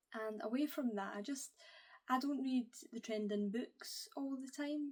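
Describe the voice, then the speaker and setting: This woman has a Scottish accent and a high pitch. She speaks at a fairly slow pace with ordinary pitch variation. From Scotland. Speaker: book YouTuber. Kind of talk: casual to-camera vlog.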